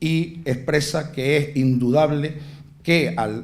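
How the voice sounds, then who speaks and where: A man's fairly high voice moves with ordinary pitch variation. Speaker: festival proclamation speaker (pregonero), historian and former culture councillor. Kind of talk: formal festival proclamation speech read to an audience. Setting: theatre with live audience. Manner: fluent, informative, lecture-like.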